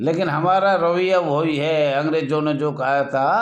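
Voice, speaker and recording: A man's voice with audible room echo. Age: 70s. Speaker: home guard association leader. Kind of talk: video appeal. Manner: formal.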